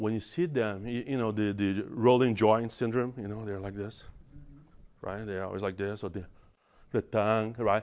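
Speaking with a Brazilian accent, a man has a fairly low pitch. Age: 50s.

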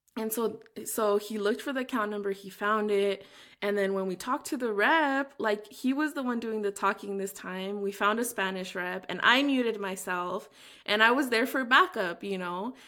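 A woman with a fairly high pitch speaks in a normal speaking voice with ordinary pitch variation. Her moderate pace is captured in a very clean recording with a silent background. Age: 30s. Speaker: podcast host. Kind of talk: interview conversation.

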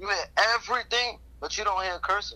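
With a New York accent, a man speaks at a moderate pace in a bright, sharp tone, with ordinary pitch variation. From Brooklyn, New York. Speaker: rapper. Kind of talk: interview.

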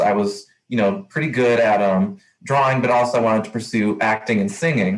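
Medium in pitch with ordinary variation, a man with an American accent speaks in an unremarkable speaking voice. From Texas, El Paso. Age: 20s. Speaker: podcast host, university student staff. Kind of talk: interview.

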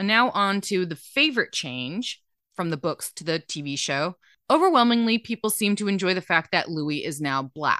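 A bright, sharp tone at a moderate pace, with very wide pitch swings over a quiet background. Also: woman, medium pitch for a woman, dry, close sound with no echo. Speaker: podcast co-host. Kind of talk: casual chat.

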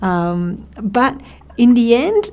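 A woman with an Australian accent speaks at a fairly high pitch, her dark, mellow tone carried by lively intonation. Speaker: radio host. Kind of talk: casual chat. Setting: studio. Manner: animated.

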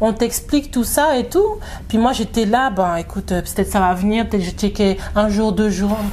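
Noticeable background noise accompanies a woman speaking at a fairly high pitch with ordinary pitch variation. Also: moderate pace. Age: 30s. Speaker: new mother, community group founder. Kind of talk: casual interview. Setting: living room at home.

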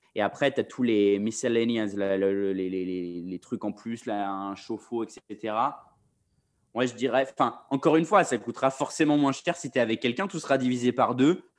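A man's unremarkable speaking voice, medium in pitch, at a moderate pace with lively intonation over a quiet background. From Paris, France. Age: 20s. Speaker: freelance video director. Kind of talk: casual chat.

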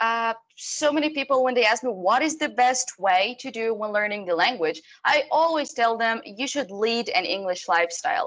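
Fairly high pitch from a woman, with very wide pitch swings at a moderate pace. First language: Arabic. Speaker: TV host. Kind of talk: casual interview.

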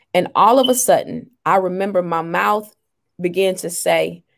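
Vocal fry runs through this fairly slow delivery with ordinary pitch variation. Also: woman, very clean recording, silent background. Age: 40s. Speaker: life coach and author. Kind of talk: interview.

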